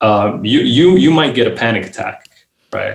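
A man with a Romanian accent. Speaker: writer and researcher. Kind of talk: interview. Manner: halting, with frequent repetitions.

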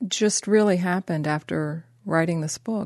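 Here is a woman with an American accent and a plain, everyday voice. Her pitch is medium, with ordinary variation. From Ohio, Columbus. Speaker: author and cultural documentarian. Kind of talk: interview.

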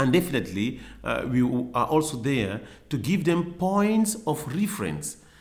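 Amid audible room echo, a man talks at a moderate pace in a fairly high pitch with vocal fry and very wide pitch swings. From Cameroon. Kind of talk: interview. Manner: halting, many fillers.

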